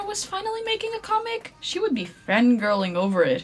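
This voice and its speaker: Noticeable background noise sits behind a woman speaking. Her pitch swings very widely. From Portugal. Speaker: artist and content creator. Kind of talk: scripted narration.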